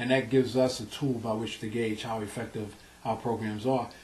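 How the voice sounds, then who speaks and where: With a New York accent, a man talks at a fairly quick pace and medium pitch amid noticeable background noise. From South Bronx, New York. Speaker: nonprofit president. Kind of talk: interview answer.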